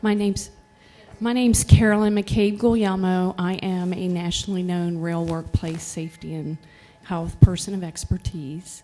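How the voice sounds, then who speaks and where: Quiet, at a moderate pace, a woman with a medium pitch keeps fairly even intonation while music plays in the background. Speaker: workplace safety expert; public commenter. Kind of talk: public comment.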